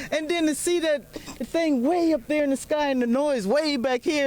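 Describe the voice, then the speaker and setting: With a Southern US accent, a woman speaks at a high pitch over noticeable background noise. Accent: southern American. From US South, Florida and Georgia. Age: 60s. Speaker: spectator. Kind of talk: on-camera interview. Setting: outdoors at launch site. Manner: animated.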